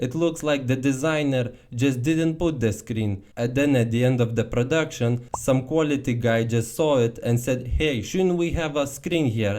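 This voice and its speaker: Using a normal speaking voice at a medium pitch, a man talks at a fairly slow pace with hardly any pauses, very even loudness and ordinary pitch variation. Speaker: car commentary youtuber. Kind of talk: casual talk to camera. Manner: humorous, irreverent.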